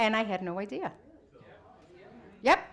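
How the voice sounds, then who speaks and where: An animated woman's voice at a medium pitch. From Brazil. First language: Portuguese. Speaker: psychologist speaker. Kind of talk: interactive talk with audience.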